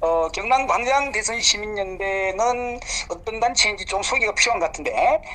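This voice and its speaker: Over noticeable background noise, a man uses a raised, projected voice that is high in pitch, speaking at a fairly slow pace. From South Gyeongsang, Korea. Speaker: politician. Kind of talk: phone interview.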